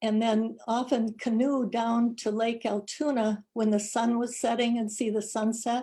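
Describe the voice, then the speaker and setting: A somewhat breathy voice with a dark, mellow tone speaks fairly slowly in a flat monotone. The recording is very clean, with a silent background. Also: woman. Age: 80s+. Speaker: congregation member. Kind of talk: personal reflection talk.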